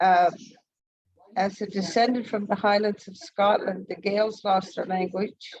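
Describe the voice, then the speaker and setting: A medium-pitched woman talks at a fairly slow pace with fairly even intonation. Her loudness swings widely from moment to moment. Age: 60s. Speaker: community participant. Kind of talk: casual chat. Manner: halting.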